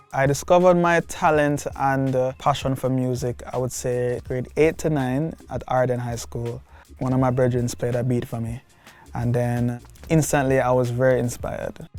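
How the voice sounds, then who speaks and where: A man with a Jamaican accent, medium pitch, fairly even intonation and a moderate pace. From Kingston, Jamaica. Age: 20s. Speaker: music producer. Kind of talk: documentary interview monologue.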